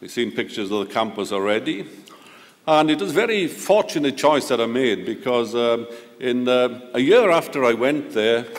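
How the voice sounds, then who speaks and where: Lively intonation in a Welsh accent, delivered at a moderate pace with audible room echo. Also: man, medium pitch for a man. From Wales, near Swansea. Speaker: professor. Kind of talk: ceremonial lecture. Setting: auditorium with audience. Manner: halting.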